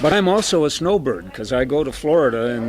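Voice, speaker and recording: With crowd noise in the background and audible room echo, a man with an American accent speaks at a fairly high pitch with lively intonation. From northern Ohio, US Midwest. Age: 70s. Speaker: senior community member. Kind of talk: personal recollection.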